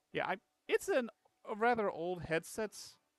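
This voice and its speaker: At a moderate pace, the voice makes very wide pitch swings over background music, with a dry, close sound and no echo. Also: man. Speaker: gaming streamer. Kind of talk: live gameplay stream. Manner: quiet; halting. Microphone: old cheap headset mic, too quiet.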